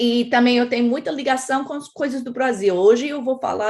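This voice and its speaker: A woman speaks at a moderate pace with an American accent. The background is quiet. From United States. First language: English (speaking Portuguese). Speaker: professor of global health. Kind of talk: lecture. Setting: academic symposium, in person and streamed.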